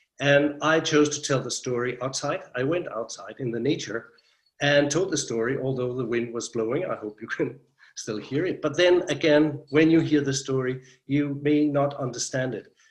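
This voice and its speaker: Speaking at a moderate pace, a man has a fairly high pitch and a Danish accent. His intonation stays fairly even. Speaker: storyteller. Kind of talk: interview. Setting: video call.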